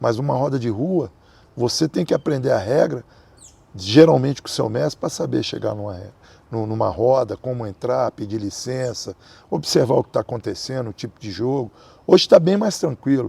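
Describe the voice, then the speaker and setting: A man talks at medium pitch and a moderate pace, his tone dark and mellow, with vocal fry and lively intonation. His loudness swings widely, and the recording is very clean with a silent background. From Brazil. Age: 60s. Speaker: capoeira master. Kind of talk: interview.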